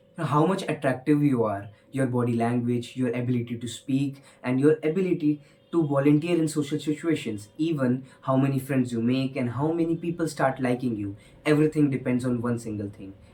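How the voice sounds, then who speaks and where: The tone is dark and mellow, with ordinary pitch variation. A somewhat breathy quality runs through it. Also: man, medium pitch for a man. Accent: Indian. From India, Hindi-speaking household. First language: Hindi. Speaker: motivational speaker. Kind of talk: motivational talk. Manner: hesitant, frequent fillers.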